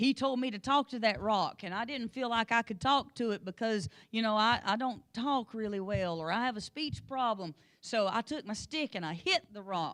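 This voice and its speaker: A woman with a rural Appalachian accent, a fairly high pitch and lively intonation. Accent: rural Appalachian hillbilly. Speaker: Sunday school teacher. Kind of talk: Bible study lesson.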